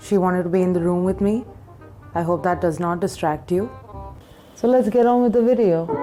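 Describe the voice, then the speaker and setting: The speech moves at a fairly quick pace with long, frequent pauses and ordinary pitch variation. Loudness stays very even over music in the background. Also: woman, medium pitch for a woman. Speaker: makeup artist. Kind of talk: casual talk to camera.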